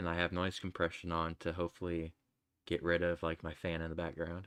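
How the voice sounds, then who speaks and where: A mumbling man with a very deep, low pitch at a fairly quick pace against a quiet background. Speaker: gamedev streamer. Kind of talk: casual live stream chat. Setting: home desk while drawing. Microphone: desk mic far from face, gain up loud, noise compression.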